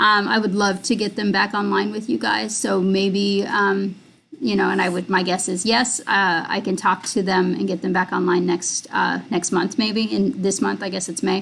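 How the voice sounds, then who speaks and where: A woman speaks at a medium pitch with vocal fry. She leaves hardly any pauses. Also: ordinary pitch variation, moderate pace. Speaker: film director and screenwriter. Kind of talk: live stream Q&A. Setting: live video stream. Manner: halting, many fillers.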